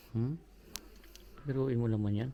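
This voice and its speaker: Here a man talks at a fairly quick pace and medium pitch. His tone is dark and mellow, with ordinary pitch variation. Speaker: travel vlogger. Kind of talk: travel vlog narration. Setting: indoors, historic house tour. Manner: loud; hushed.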